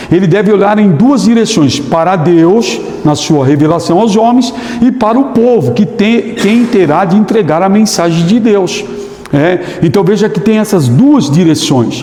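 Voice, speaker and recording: A man speaks fairly slowly in a high voice, with lively intonation and very even loudness. Noticeable background noise and audible room echo sit behind him. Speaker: theology teacher. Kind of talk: lecture. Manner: halting.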